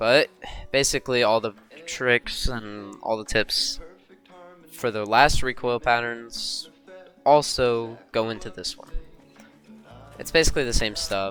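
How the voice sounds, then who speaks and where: Music plays in the background while the speech has long, frequent pauses. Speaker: gamer. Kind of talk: casual gameplay tutorial commentary. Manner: casual, hesitant.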